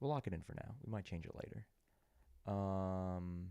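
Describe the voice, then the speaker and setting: A soft-spoken man talks at a moderate pace with ordinary pitch variation. His very deep, low voice has a dark, mellow tone. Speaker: sports betting show host. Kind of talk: live stream commentary on betting picks.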